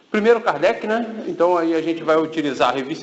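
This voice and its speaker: Talking at a fairly quick pace with a Brazilian accent, a man uses lively intonation in a fairly high voice, amid noticeable background noise and audible room echo. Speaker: spiritist lecturer. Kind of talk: lecture.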